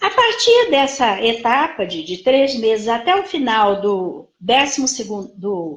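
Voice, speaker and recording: A woman's voice at a fairly slow pace, with very wide pitch swings. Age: 60s. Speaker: psychologist. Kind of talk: lecture. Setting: live stream.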